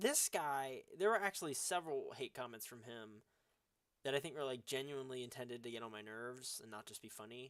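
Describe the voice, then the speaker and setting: A man talks in a normal speaking voice at a medium pitch and a moderate pace. His intonation is lively, with big swings in loudness. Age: 20s. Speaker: content creator. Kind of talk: reading comments aloud with casual commentary.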